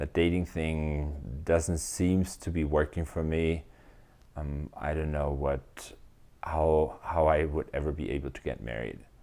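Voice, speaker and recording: Very deep and low in pitch, this man talks with a German accent in a dark, mellow tone. He keeps a fairly slow pace and fairly even intonation. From Germany. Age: 30s. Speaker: SAP business consultant. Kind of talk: interview answer.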